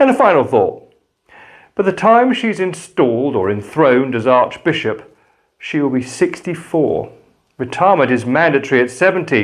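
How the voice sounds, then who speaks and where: This man has an English accent and a fairly high pitch. His voice swings very widely in pitch at a moderate pace. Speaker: pastor. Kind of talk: spoken reflection. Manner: calm.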